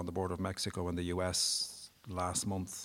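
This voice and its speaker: A man with an Irish accent, very deep and low in pitch, at a moderate pace on a very clean recording with a silent background. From Ireland, Wexford. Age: 50s. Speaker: human rights campaigner. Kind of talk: casual interview.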